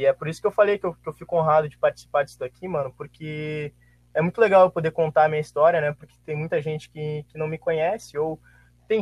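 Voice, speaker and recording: Dry and close with no echo, a man talks at a fairly quick pace with ordinary pitch variation. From Santa Maria, Rio Grande do Sul, Brazil. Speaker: former student athlete. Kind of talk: casual chat.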